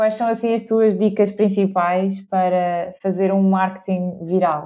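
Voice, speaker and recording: Her voice sits at a medium pitch with a dark, mellow tone. The woman's intonation stays monotone and flat. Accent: European Portuguese. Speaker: podcast co-host. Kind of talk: casual interview chat.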